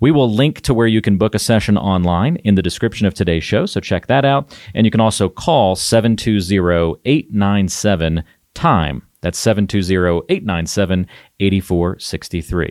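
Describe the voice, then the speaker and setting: Featuring an unremarkable speaking voice, a man with an American accent speaks at a moderate pace and fairly low pitch with lively intonation, recorded very cleanly against a silent background with a dry, close sound and no echo. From US South. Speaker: podcast host. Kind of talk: casual chat.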